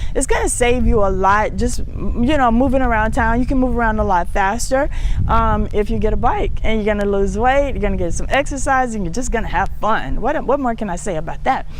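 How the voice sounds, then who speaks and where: This woman's voice is fairly high, with ordinary pitch variation and a fairly quick pace with hardly any pauses. There is noticeable background noise and audible room echo. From United States. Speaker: talk show host. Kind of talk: casual monologue to viewers. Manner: fast.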